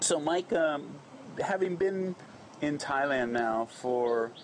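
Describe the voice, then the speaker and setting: A man's voice with ordinary pitch variation and light background noise. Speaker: interviewer, channel host. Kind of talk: interview questions. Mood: relaxed, laughing. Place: cafe.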